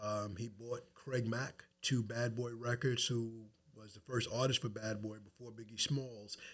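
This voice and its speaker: Speaking with an American accent, a man keeps a medium pitch and monotone, flat intonation. His pace is fairly slow, with big swings in loudness. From Long Island, New York. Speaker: podcast host and insurance agent. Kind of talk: podcast interview. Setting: studio, in person.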